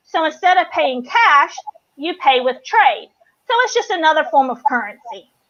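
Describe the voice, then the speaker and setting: With a Southern US accent, a woman speaks at an extremely high pitch. Her pitch swings very widely, and her pace is moderate. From US South, North Carolina. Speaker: business co-founder. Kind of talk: interview. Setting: live stream.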